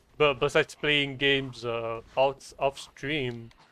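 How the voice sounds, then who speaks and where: A man with a French accent speaks at a very slow pace in a medium pitch, keeping his intonation fairly even. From France. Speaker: game streamer. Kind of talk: live gameplay stream commentary.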